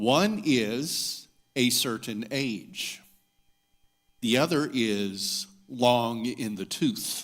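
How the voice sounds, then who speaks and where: Lively intonation comes at a very slow pace with long, frequent pauses and audible room echo. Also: man, medium pitch for a man. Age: 60s. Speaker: minister. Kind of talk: sermon. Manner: formal.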